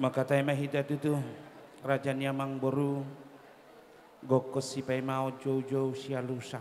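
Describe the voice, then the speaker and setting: Monotone, flat male speech at medium pitch, fairly slow, with long, frequent pauses and noticeable background noise. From Batak village, North Sumatra. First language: Batak (speaking Indonesian). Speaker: clan association chairman giving wedding speech. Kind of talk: ceremonial speech.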